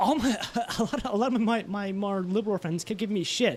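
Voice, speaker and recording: A man talks fairly quickly in a high voice, his pitch varying an ordinary amount. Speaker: podcast host. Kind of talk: casual chat. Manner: fast; animated.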